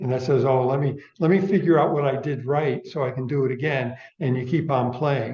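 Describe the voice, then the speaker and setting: Somewhat breathy with a dark, mellow tone, a man speaks at a moderate pace in a fairly high pitch. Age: 70s. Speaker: speaker giving a talk. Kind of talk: audience Q&A discussion.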